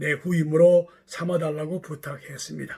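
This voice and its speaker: You hear a man speaking. His pitch is high. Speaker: pastor. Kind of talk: sermon. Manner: formal.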